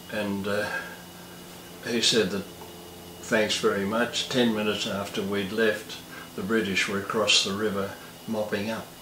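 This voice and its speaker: With an Australian accent, a man talks at a fairly low pitch and a fairly slow pace in a monotone, flat intonation, pausing long and often over noticeable background noise. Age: 80s+. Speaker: war veteran. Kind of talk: interview answer.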